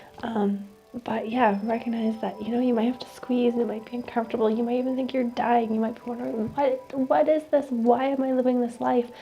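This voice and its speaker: A woman's high-pitched voice at a fairly quick pace, fairly even in intonation, with music in the background. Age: late 20s. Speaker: reiki practitioner and oracle card reader. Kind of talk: oracle card reading, calm spiritual ASMR-style talk.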